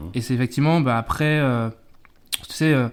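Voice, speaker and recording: A man talks at medium pitch with ordinary pitch variation. The recording is very clean, with a silent background. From Martinique (Fort-de-France), with childhood in Saint-Denis and Mayotte. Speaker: podcast guest. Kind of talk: casual interview. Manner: halting, many fillers and repetitions.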